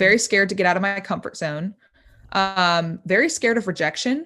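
In a plain, everyday voice, a woman with an American accent talks at a moderate pace with ordinary pitch variation against a quiet background. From US Midwest, Indiana. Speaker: rapper and social media influencer. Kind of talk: interview.

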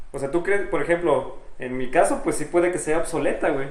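With a Mexican accent, a man speaks at a moderate pace, and room echo can be heard. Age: 20s. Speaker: podcast co-host. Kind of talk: casual chat.

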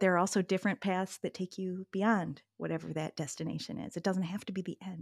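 Very clean and silent behind her, with a dry, close sound and no echo, a woman of medium pitch talks at a very fast pace with ordinary pitch variation. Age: 50s. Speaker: pattern-maker and yoga teacher. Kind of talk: casual interview.

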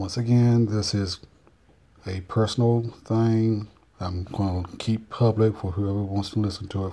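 Somewhat breathy man's voice with a North Carolina accent, fairly low in pitch, fairly slow and monotone, in a very clean recording with a silent background. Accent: Southern US, North Carolina. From US South, North Carolina. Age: 40s. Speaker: personal vlogger. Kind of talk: casual monologue, personal video diary.

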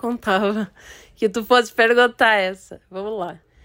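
A woman's flat, monotone delivery at a fairly slow pace. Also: very clean recording, silent background. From Brazil. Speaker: poet. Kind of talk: interview.

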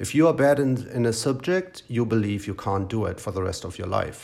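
A man with a German accent, medium-pitched, with lively intonation at a moderate pace. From East Germany, Brandenburg. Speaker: podcaster. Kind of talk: personal storytelling monologue. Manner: conversational with frequent fillers.

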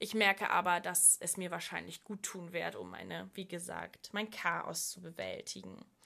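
Speaking at a fairly slow pace, the woman leaves hardly any pauses. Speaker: podcast host. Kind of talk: solo podcast monologue. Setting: at home desk.

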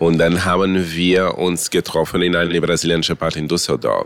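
A man's voice, very deep and low in pitch, moves along at a moderate pace. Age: 50s. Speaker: drag queen. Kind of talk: interview.

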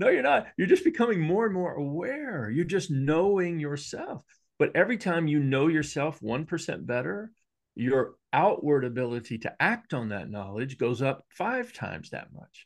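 A man's fairly high voice at a moderate pace, with very wide pitch swings, big swings in loudness and a quiet background. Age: 60s. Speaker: executive coach and speaker. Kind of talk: casual interview conversation.

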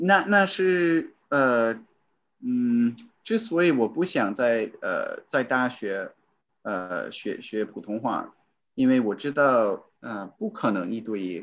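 Very slowly and with very wide pitch swings, a man at medium pitch speaks over a quiet background. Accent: English. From US. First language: English (speaking Chinese). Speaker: voice-over recorder, former Chinese learner. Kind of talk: interview. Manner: halting, many fillers.

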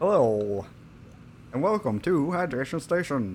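A man puts on a character voice at a fairly high pitch, with clear background noise behind him. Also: moderate pace. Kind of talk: formal. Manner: announcer-style.

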